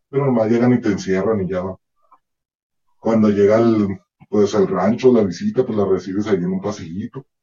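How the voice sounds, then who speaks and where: Music in the background behind a man's fairly low voice, moderate in pace, with fairly even intonation. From Northern Mexico, Ciudad Juárez. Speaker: former prisoner. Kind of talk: testimony.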